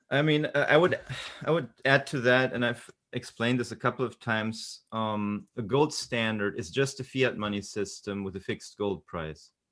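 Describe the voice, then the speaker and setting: Against a quiet background, a man talks in an unremarkable speaking voice at medium pitch. His pace is moderate, with ordinary pitch variation. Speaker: economics commentator. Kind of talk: debate.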